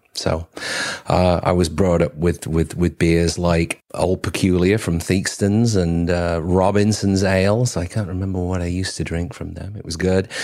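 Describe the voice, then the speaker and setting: A man's very deep, low voice, dark and mellow, at a moderate pace with fairly even intonation, on a very clean recording with a silent background. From northern England, Cheshire. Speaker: brewery owner and brewer. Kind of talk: casual interview. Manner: halting, repeats words.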